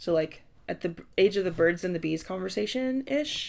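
A woman's fairly low, plain, everyday voice, lively in intonation, at a moderate pace. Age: 30s. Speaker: intersex advocate. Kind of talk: casual chat.

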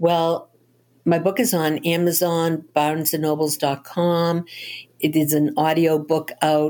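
In a very clean recording with a silent background, a woman with a Boston accent speaks at a very slow pace in a dark, mellow tone, her pitch fairly low and her loudness very even. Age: 70s. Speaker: novelist. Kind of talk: interview. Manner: animated.

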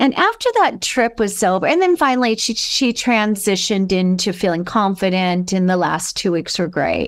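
In a normal speaking voice with an American accent, a woman talks at a moderate pace and medium pitch, with ordinary pitch variation, very even loudness and hardly any pauses. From US West Coast, Los Angeles. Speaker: author and alternative education advocate. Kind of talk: interview storytelling.

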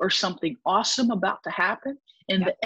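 Here a woman talks at a moderate pace in a somewhat breathy voice. The sound is dry and close, with no echo. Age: 40s. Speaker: podcaster and author. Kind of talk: casual chat.

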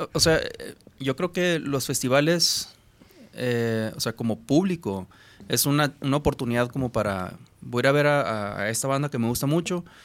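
Medium pitch for a man, ordinary pitch variation, a normal speaking voice. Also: moderate pace. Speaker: musician.

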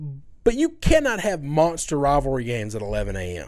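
Speaking with an American accent at a fairly quick pace, a man uses a fairly high pitch with very wide pitch swings on a very clean recording with a silent background. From US South. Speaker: sports podcast co-host. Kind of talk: casual sports talk.

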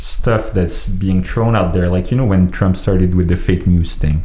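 A man talks with ordinary pitch variation. There is noticeable background noise. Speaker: podcast host. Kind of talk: casual chat. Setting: studio.

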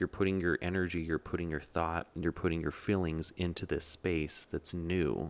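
A man's very deep, low voice with an American accent, dry and close with no echo on a very clean recording with a silent background, at a moderate pace with hardly any pauses, very even loudness and fairly even intonation. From US West, Denver, Colorado. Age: 20s. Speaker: podcast host and actor. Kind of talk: casual monologue. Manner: frequent filler ums.

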